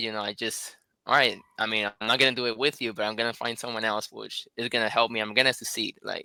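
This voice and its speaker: With a Puerto Rican accent, a man talks at a fairly quick pace in a bright, sharp tone. The sound is dry and close with no echo, in a very clean recording with a silent background. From Puerto Rico. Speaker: life insurance agent. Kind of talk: casual interview chat.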